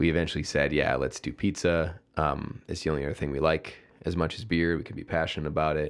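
A man's very deep, low voice with vocal fry at a very fast pace, fairly even intonation, in a very clean recording with a silent background. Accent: American. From Chicago, south side. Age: 40s. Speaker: brewery founder. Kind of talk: casual interview. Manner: halting.

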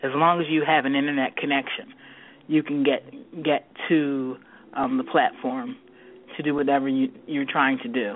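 This woman's voice sits at a very deep, low pitch with ordinary variation. She speaks at a moderate pace. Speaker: technology consultant guest. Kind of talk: interview discussion.

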